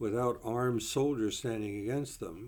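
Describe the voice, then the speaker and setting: American accent from a male speaker. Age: 80s+. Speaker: retired professor and political commentator. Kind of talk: video monologue. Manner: hesitant with fillers.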